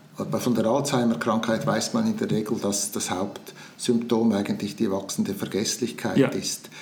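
Over noticeable background noise, a man with a medium pitch talks at a moderate pace with hardly any pauses and ordinary pitch variation. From Switzerland, Zurich region. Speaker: retired publisher and politician. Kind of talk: interview. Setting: in person. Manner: halting.

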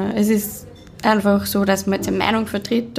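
In a room with audible echo, a woman speaks at a moderate pace in a fairly high pitch with monotone, flat intonation. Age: 30s. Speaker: screen printing business owner and mental health educator. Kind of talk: interview. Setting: hotel conference room.

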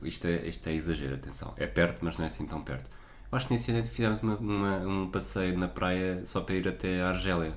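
In a European Portuguese accent, a man with a very deep, low voice talks very fast with lively intonation amid audible room echo. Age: 30s. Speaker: podcast co-host. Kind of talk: casual chat.

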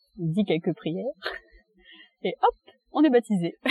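Lively intonation carries the speech over music playing in the background. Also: woman. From France, Reims. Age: 20s. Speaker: interviewee. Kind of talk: casual interview for language learners. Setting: outdoors in a park.

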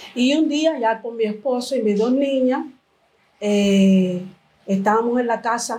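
This woman has a dark, mellow tone and fairly high pitch with ordinary pitch variation. She speaks at a fairly slow pace. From Cuba. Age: 50s. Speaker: church member. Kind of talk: testimony. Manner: halting.

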